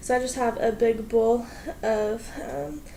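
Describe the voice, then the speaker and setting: A woman with an American accent and a fairly high pitch, amid audible room echo and noticeable background noise. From US Pacific Northwest. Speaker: vlogger. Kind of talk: casual vlog. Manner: energetic.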